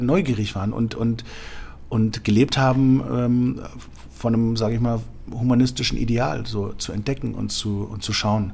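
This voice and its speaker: A man with a medium pitch and ordinary pitch variation talks amid noticeable background noise. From Germany, Berlin. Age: 40s. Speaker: sommelier. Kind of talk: interview. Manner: hesitant, many fillers.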